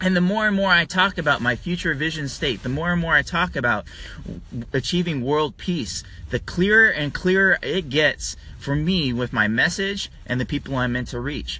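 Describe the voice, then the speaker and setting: A man's bright, sharp voice with an American accent, fairly high pitch, lively intonation and a moderate pace. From California. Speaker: podcast host and marketing agency owner. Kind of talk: motivational solo podcast talk. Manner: casual, with many fillers.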